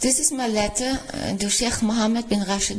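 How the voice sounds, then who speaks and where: Noticeable background noise runs under the voice. The speaker talks at a fairly quick pace. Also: woman. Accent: Austrian. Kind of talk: reading a letter aloud.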